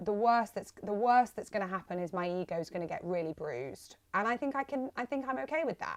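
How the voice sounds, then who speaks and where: A woman's medium-pitched, animated voice at a fairly quick pace, with very wide pitch swings and hardly any pauses. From Manchester, northern England. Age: 20s. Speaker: radio and TV presenter. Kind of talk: interview.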